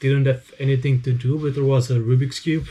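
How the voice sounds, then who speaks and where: Somewhat breathy, the man's voice sits at a medium pitch with a dark, mellow tone. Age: 20s. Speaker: speedcubing YouTuber. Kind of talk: casual Q&A monologue. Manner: hesitant with fillers.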